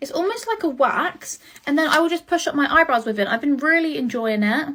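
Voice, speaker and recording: At a fairly quick pace, the voice moves through very wide pitch swings. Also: woman. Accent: British. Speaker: beauty content creator. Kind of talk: get ready with me vlog. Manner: rushed.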